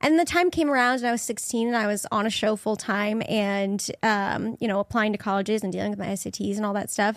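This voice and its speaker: In a normal speaking voice, a woman talks fairly quickly at a fairly high pitch, with a dry, close sound, no echo, a very clean recording and a silent background. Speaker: actor.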